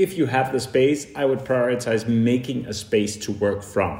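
Speaking at a moderate pace, a man has a medium pitch with ordinary pitch variation. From Denmark. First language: Danish. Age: 40s. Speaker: designer and entrepreneur. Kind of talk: interview. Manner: hesitant, many fillers.

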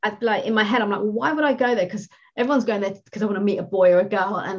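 Speaking at a very fast pace, a woman with a British accent sounds somewhat breathy, at medium pitch with ordinary pitch variation. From Britain. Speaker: career coach. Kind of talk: interview.

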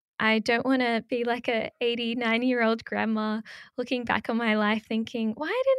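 Recorded dry and close with no echo against a silent background, a woman with an Australian accent speaks at a moderate pace and a high pitch in a very clean recording. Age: 20s. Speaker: personal finance content creator. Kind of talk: interview.

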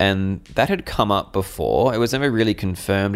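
With an Australian accent, a man speaks at a moderate pace, his pitch fairly low and its variation ordinary. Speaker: mental health advocate. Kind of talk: interview.

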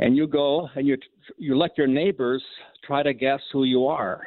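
Pitched fairly high, a man with an Upper Midwest accent talks with ordinary pitch variation. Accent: Upper Midwest (Minnesota). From Minnesota, small Norwegian community. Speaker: caller. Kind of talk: call-in radio chat.

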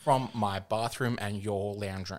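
A man with an Australian accent talks at a fairly slow pace. The recording is very clean, with a silent background. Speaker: podcast co-host, drag performer. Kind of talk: casual chat.

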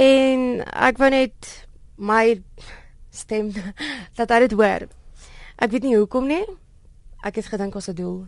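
A woman with a plain, everyday voice talks at a fairly high pitch with ordinary pitch variation. The background is quiet. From Cape Town area, South Africa. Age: 20s. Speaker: singer. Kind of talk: interview.

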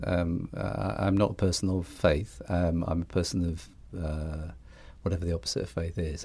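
A man's very deep, low-pitched voice with vocal fry. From northeast England. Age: 50s. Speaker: ad agency founder. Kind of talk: casual interview. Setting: studio. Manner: hesitant, repeats words.

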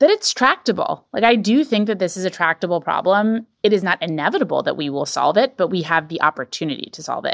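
In a very clean recording with a silent background and a dry, close sound with no echo, a woman with an American accent uses a normal speaking voice at a moderate pace with lively intonation. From US South, North Carolina. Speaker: head of climate at a tech company. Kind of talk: interview.

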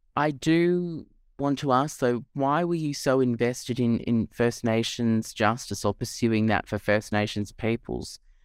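A man speaks at a fairly slow pace with an Australian accent. His pitch sits in the medium range. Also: very clean recording, silent background. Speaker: podcast host, lawyer. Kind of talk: interview.

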